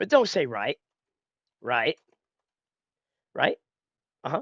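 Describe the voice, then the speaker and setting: A man is heard with a dry, close sound, no echo, and a quiet background. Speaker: preacher. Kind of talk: casual commentary to camera.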